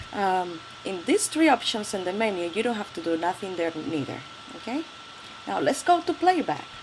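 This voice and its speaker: A woman's medium-pitched voice with a Spanish accent, very wide pitch swings and long, frequent pauses at a moderate pace over noticeable background noise. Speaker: tech tutorial youtuber. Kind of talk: tutorial. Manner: halting.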